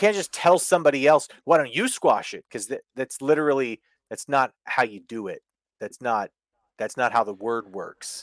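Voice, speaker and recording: A man with a plain, everyday voice of medium pitch, lively intonation, big swings in loudness and a moderate pace, in a dry, close sound with no echo. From Canada. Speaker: wrestling podcast co-host. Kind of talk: casual chat.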